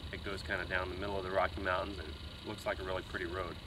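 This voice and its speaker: Over noticeable background noise, a man speaks in a fairly low pitch, the sound dry with no echo. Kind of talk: casual vlog chat. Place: forest. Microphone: camera far.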